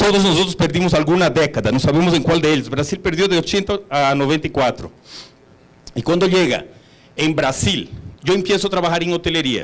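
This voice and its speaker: A man's high-pitched voice at a fairly quick pace. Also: ordinary pitch variation. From Brazil, São Paulo. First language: Portuguese (speaking Spanish). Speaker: hotel executive. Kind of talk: conference talk.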